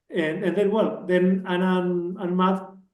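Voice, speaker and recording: Audible room echo surrounds a man speaking at a moderate pace in a high pitch. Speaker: telecom engineer turned businessman, meetup speaker. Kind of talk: technical talk. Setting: meetup with live and online audience. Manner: halting, with many fillers.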